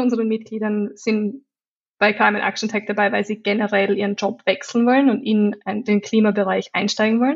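Monotone, flat intonation at a moderate pace. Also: woman. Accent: Austrian. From Austria. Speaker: digital designer and climate activist. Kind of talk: interview.

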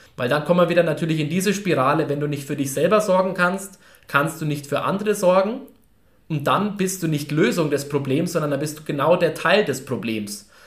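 Man at a fairly high pitch with ordinary pitch variation, a fairly quick pace and audible room echo. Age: 20s. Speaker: coaching company staff member. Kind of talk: casual chat.

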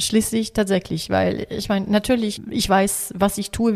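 Speaking at a medium pitch, a woman keeps a fairly slow pace. Her intonation is fairly even. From Italian, raised in Africa. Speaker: coach for children and families. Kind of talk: interview. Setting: at a kitchen table. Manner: hesitant with fillers.

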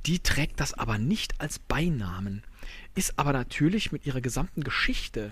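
Speaking with a Rhineland accent, a man talks fairly slowly with vocal fry and very wide pitch swings. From Rhineland, Germany. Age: 40s. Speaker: podcaster, quiz contestant. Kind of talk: recorded game-show answers.

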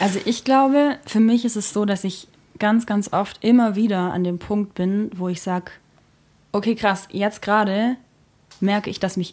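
A woman has a normal speaking voice with a medium pitch. She talks at a moderate pace with ordinary pitch variation. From rural Germany. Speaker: singer and keyboardist in a duo. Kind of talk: casual interview chat. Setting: at the host's home.

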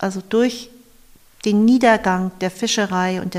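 A woman's medium-pitched voice, with fairly even intonation, proceeds at a fairly slow pace. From northern Germany, Eckernförde (Schleswig-Holstein). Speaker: museum volunteer and graphic designer. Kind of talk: interview. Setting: on location in an old fish smokehouse.

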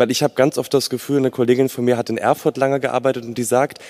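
With a dark, mellow tone and medium pitch, a man is heard in a dry, close sound with no echo. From western Germany, Frankfurt am Main. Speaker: student, audience member. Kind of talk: audience question. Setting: stage with audience.

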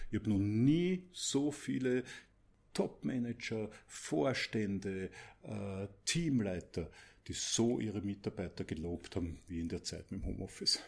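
A man with an Austrian accent speaks at a fairly slow pace in a fairly low voice, his pitch swinging very widely, with long, frequent pauses. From Austria, Mödling, Lower Austria. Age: 50s. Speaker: business coach. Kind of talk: podcast interview.

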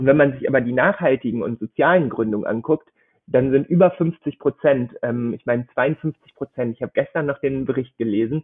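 A man with a medium-pitched voice speaks at a moderate pace with ordinary pitch variation, in an unremarkable speaking voice. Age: 20s. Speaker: startup program manager and doctoral researcher. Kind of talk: interview.

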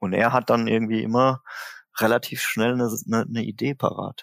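A man talks at a fairly slow pace and a medium pitch. The sound is dry and close with no echo. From Germany, Mannheim. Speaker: drummer and singer in a band. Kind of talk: casual interview. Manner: hesitant, many fillers.

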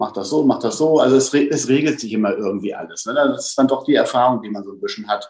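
Medium in pitch, a man's voice rushes along at a very fast pace. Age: 50s. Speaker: best ager model. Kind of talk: interview.

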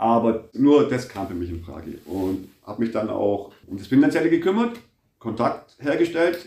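A man with a dark, mellow tone and medium pitch speaks at a moderate pace. His pitch swings very widely, and his loudness rises and falls sharply. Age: 50s. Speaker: factory foreman and dental patient. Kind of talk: interview.

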